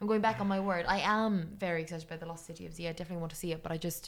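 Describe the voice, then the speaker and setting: In an Irish accent, a woman talks very fast at a fairly low pitch. Her intonation is monotone and flat. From Ireland. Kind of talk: casual chat.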